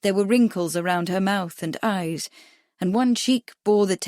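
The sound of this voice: Pitch varies in an ordinary way in an unforced reading voice. Behind it, all is quiet.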